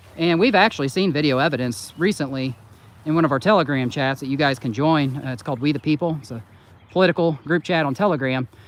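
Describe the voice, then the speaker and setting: Speaking at a very fast pace with an Indiana accent, a man uses a fairly high pitch with ordinary pitch variation. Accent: Hoosier twang. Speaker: channel host. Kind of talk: casual chat.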